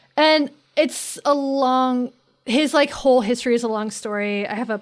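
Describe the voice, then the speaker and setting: On a very clean recording against a silent background, a woman with an American accent talks, her pitch rising and falling in an ordinary way. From North Carolina. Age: 30s. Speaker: writer and podcaster. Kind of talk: casual chat.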